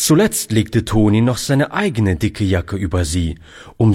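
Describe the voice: Lively intonation lifts what is otherwise plain reading aloud.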